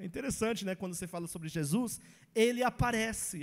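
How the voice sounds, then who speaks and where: A man speaks at a very fast pace. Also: very clean recording, silent background. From English-speaking country. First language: English (speaking Portuguese). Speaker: pastor. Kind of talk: Bible teaching.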